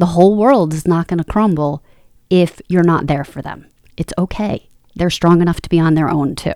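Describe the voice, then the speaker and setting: With a normal speaking voice, a woman talks at a moderate pace and a fairly low pitch with ordinary pitch variation. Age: 40s. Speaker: podcast co-host, motivational speaker and life coach. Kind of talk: casual chat.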